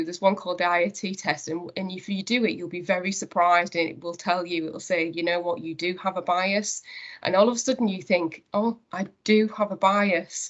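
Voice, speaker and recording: In a North East England accent, a woman of medium pitch speaks at a fairly quick pace with hardly any pauses and big swings in loudness. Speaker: company managing director. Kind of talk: interview conversation. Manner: hesitant, many fillers.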